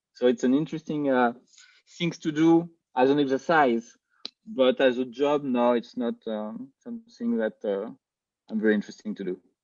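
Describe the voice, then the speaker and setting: With a French accent, a man talks at a moderate pace in a dry, close sound with no echo. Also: medium pitch for a man, lively intonation. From France. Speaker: film director. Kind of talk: interview. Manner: halting, many fillers and repeats.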